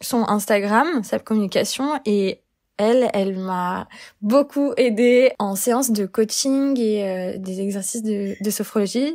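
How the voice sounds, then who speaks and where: A woman's fairly high voice at a very slow pace, with ordinary pitch variation, in a very clean recording with a silent background. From France, Lyon. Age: 20s. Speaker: community manager sharing anxiety experience. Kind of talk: personal testimony interview. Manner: hesitant, many fillers.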